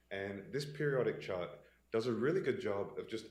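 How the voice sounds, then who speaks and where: A man is heard with audible room echo. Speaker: investment consultant presenting to pension board. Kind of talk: business presentation. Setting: in-person meeting room. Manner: many filler words (uh).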